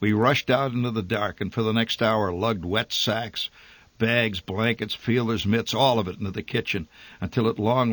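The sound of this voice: The voice reads in an unforced way.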